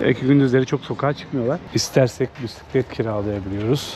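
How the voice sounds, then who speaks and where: A man with a medium pitch and ordinary pitch variation speaks very fast, noticeable background noise behind him. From Turkey, Samsun. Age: 30s. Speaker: travel vlogger. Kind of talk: travel vlog narration. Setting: outdoors. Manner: casual.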